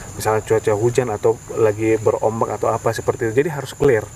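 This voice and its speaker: The speech races along at a very fast pace against noticeable background noise. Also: man. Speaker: tourism business founder. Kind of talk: interview. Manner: soft-spoken, gentle; halting, many fillers.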